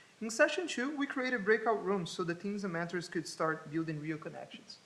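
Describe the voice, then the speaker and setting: A high-pitched man's voice with a Portuguese accent. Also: lively intonation, fairly quick pace. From Brazil. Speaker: college student. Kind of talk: student presentation.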